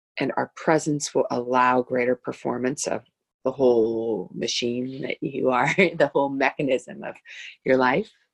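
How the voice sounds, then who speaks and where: The voice has a warm, soothing tone and a fairly slow pace. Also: woman, very deep, low pitch for a woman, ordinary pitch variation. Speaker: wellness guide. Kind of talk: casual conversation about spirituality. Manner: warm, reflective, soothing.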